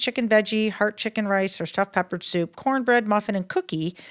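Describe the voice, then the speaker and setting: With a plain, everyday voice, a woman talks at a fairly quick pace with lively intonation and a fairly high pitch, on a very clean recording with a silent background. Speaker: local podcast co-host. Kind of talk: casual chat.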